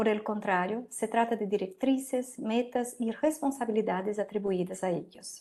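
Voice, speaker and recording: In a Portuguese accent, a woman speaks at a moderate pace with a fairly high pitch. Her tone is dark and mellow, with ordinary pitch variation. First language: Portuguese (speaking Spanish). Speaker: law professor. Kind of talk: lecture. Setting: video call.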